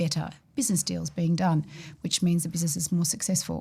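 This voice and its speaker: A woman's fairly low, somewhat breathy voice with a dark, mellow tone and an Australian accent, at a fairly quick pace, on a very clean recording with a silent background. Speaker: financial services executive. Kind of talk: podcast discussion.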